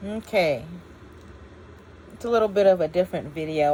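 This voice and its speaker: With a dark, mellow tone, a woman speaks at a fairly low pitch using lively intonation. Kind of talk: casual talk to camera. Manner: rambling, unscripted.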